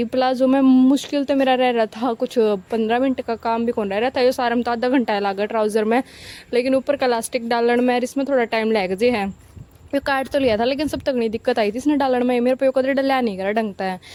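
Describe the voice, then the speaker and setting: A woman speaks at a high pitch in a dark, mellow tone, her intonation fairly even. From Haryana. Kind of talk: casual vlog narration.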